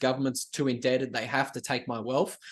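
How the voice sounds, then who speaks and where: With an Australian accent, a man speaks at a fairly quick pace and a fairly high pitch against a quiet background. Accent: Australian, broad. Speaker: writer and YouTuber, bitcoin commentator. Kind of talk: podcast interview.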